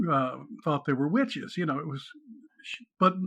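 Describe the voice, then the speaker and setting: Man with an American accent, a fairly high pitch, a bright, sharp tone and ordinary pitch variation, over a quiet background. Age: 70s. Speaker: author. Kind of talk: podcast interview.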